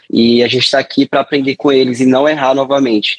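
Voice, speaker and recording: Background noise is noticeable throughout. The voice is a man's. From Brazil, Paraíba interior. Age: young. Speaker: entrepreneur, founder of a favela delivery company. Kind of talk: interview conversation.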